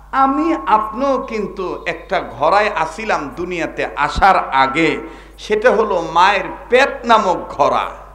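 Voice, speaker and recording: A high-pitched man talks with lively intonation while noticeable background noise carries on. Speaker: Islamic preacher. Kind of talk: waz sermon to a live crowd. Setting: live outdoor gathering with microphone and PA. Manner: loud, call-and-response, conversational, humorous.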